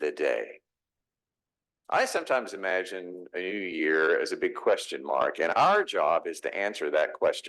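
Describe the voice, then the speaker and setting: A man with a Texas accent talks at a fairly slow pace. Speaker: pastor. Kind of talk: sermon.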